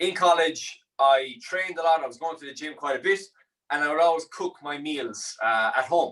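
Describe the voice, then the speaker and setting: In a Limerick accent, a man speaks at a moderate pace with a fairly high, bright and sharp voice and ordinary pitch variation. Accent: Irish (Limerick). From Ireland, Limerick. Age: 20s. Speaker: chef and meal prep business owner. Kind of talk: cooking tutorial. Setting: studio. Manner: casual, relaxed.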